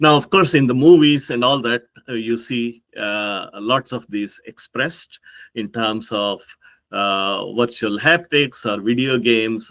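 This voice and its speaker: With an Indian accent, a man speaks at a medium pitch and a fairly slow pace, using ordinary pitch variation. His tone is bright and sharp, and the sound is dry and close with no echo. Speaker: professor. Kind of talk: conference talk. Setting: pre-recorded remote talk. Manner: hesitant, with frequent fillers.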